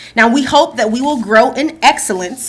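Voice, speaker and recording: The speaker has an American accent and a fairly quick pace. The intonation is lively. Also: woman. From New Jersey. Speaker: school division staff presenter. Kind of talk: board meeting presentation. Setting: school board meeting in boardroom.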